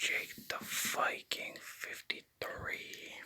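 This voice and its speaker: Someone whispers at a very slow pace. Noticeable background noise can be heard. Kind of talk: ASMR name repetition. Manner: whispered.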